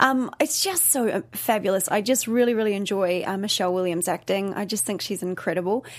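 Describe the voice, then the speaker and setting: A woman speaks at a very fast pace with a New Zealand accent and ordinary pitch variation. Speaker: co-host, dancer, dance company owner. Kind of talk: casual chat review.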